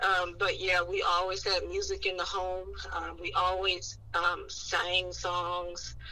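A woman at a very slow pace with hardly any pauses, over noticeable background noise. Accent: American. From East Oakland, California. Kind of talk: casual chat.

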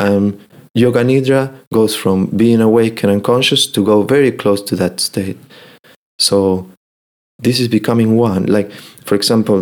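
Using fairly even intonation, a man with a Spanish accent and fairly low pitch speaks at a moderate pace. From Argentina. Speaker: meditation and yoga nidra teacher. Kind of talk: casual interview in English.

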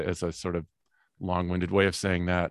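Very deep and low in pitch, a man speaks in a Midwestern American accent with monotone, flat intonation. The recording is very clean, with a silent background and a dry, close sound with no echo. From US Midwest. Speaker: dentist. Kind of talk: casual chat.

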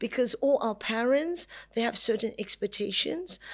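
With lively intonation and a high pitch, a woman talks at a moderate pace over a quiet background. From Hong Kong. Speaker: gallerist. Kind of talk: interview. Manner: halting.

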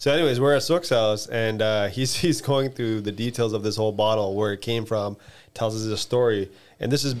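A man speaks at a very fast pace in a medium pitch with ordinary pitch variation. The recording is very clean, with a silent background. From Toronto, Canada. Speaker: podcast host. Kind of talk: casual chat.

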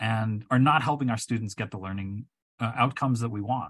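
A man with an unremarkable speaking voice talks at a fairly quick pace, his medium pitch rising and falling in an ordinary way. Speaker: chemistry professor. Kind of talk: casual chat.

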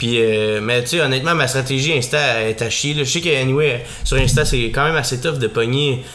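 Over noticeable background noise, a man speaks with a Quebec accent. His medium-pitched voice moves at a moderate pace with fairly even intonation. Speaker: podcast host. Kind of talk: casual chat.

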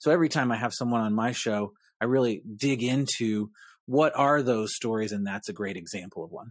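This is a normal speaking voice at a fairly quick pace. Its pitch varies in an ordinary way over a quiet background. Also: man, medium pitch for a man. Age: 40s. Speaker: insurance agency founder and podcast host. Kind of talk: casual interview.

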